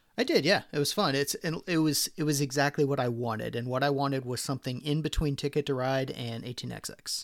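A man's very fast delivery with fairly even intonation and hardly any pauses, on a very clean recording with a silent background. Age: 40s. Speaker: board game podcast co-host. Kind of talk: casual chat.

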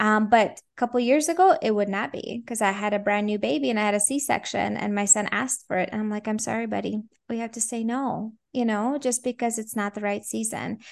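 Over a quiet background, a woman with an unremarkable speaking voice talks at a fairly quick pace, fairly high in pitch, with ordinary pitch variation. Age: 30s. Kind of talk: interview conversation.

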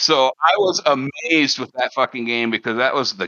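Lively intonation runs through the speech of a man with an Upper Midwest accent. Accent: Upper Midwest American. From Wisconsin. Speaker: gamer. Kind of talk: casual chat.

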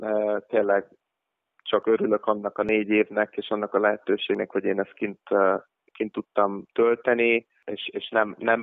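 Flat, monotone intonation at medium pitch marks this man's fairly slow delivery. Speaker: professional basketball player. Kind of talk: interview. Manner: halting, many fillers and repetitions.

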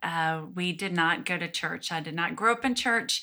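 Recorded very cleanly against a silent background, a woman with a Southern US accent speaks at a medium pitch in a bright, sharp tone with fairly even intonation. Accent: Southern US (Georgia). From Georgia, US South. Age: 30s. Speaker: guest sharing personal testimony. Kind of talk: testimony.

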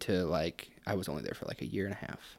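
The recording is very clean and the background silent. His pitch, a man's, varies in an ordinary way. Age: 20s. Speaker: podcast guest. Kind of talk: casual chat.

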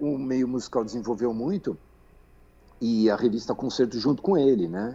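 Here a man speaks with ordinary pitch variation. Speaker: magazine editor. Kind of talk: interview. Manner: halting, many fillers and repetitions.

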